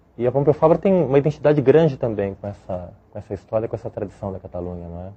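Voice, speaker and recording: A man talks at a very fast pace, somewhat breathy. His pitch swings very widely and his loudness swings a lot. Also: medium pitch for a man. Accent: Brazilian. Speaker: law professor. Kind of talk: interview.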